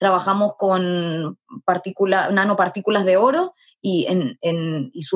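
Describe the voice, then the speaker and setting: A woman with a plain, everyday voice speaks at a medium pitch with ordinary pitch variation, recorded with a dry, close sound and no echo. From Chile. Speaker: startup founder. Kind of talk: interview.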